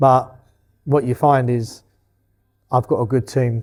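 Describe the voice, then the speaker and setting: A man mumbles at a medium pitch. His tone is dark and mellow. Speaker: boxing promoter. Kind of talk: interview. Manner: mumbling; casual, expletive-heavy.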